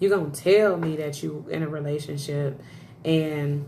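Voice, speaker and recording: Through audible room echo, a woman speaks in a very deep, low pitch and a dark, mellow tone, with ordinary pitch variation. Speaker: live streamer. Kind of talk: casual chat. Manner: loud; animated.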